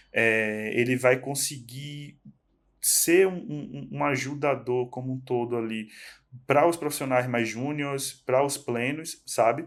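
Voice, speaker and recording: Very slow delivery comes with fairly even intonation. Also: man, medium pitch for a man. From Northeast Brazil. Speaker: tech professional guest. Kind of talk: casual podcast chat. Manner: halting, many repetitions.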